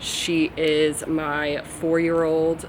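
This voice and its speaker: A woman with an American accent and a very deep, low pitch talks over noticeable background noise. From Virginia, US. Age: 20s. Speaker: vlogger and software engineer. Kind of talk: casual chat to camera. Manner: casual, filler-heavy.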